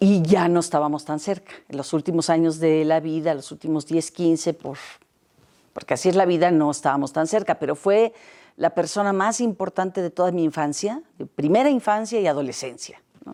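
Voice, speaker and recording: A woman speaks at a moderate pace with a dark, mellow tone and fairly low pitch that varies in an ordinary way. The recording is very clean, with a silent background. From Mexico. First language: Catalan (speaking Spanish). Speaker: academic interviewee. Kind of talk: interview. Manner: halting, repeats words.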